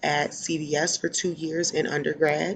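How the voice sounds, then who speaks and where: With a Philadelphia accent, a woman speaks in a very deep, low voice and fairly even intonation. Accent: Philadelphia American English. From US, Philadelphia, Pennsylvania. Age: 20s. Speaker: social work student and case manager. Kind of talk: self-introduction video.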